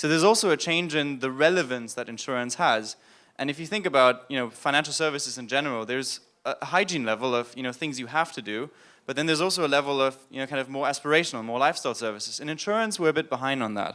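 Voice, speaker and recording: A man with a German accent speaks very fast in a fairly high voice with a bright, sharp tone and ordinary pitch variation, on a very clean recording with a silent background. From Germany. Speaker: business consultant. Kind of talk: conference panel discussion.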